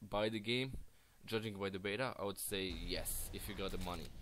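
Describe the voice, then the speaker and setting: A man with a non-native accent, fairly low in pitch, at a very fast pace over background music. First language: not English. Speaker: gaming youtuber. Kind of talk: game review commentary. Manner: halting, many restarts.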